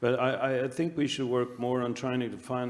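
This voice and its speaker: A man is speaking. He has a Swedish accent. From Sweden. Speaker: anaesthesia researcher. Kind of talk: panel discussion. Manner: halting.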